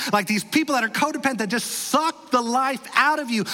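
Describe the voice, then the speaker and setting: Over noticeable background noise, a man raises and projects an extremely high-pitched voice with ordinary pitch variation. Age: 40s. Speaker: pastor. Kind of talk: sermon. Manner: animated.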